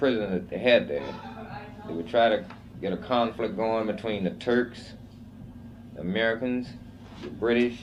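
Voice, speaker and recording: Moderate pace and medium pitch from a man, with ordinary pitch variation and long, frequent pauses. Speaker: Korean War veteran, former POW. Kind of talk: interview answer.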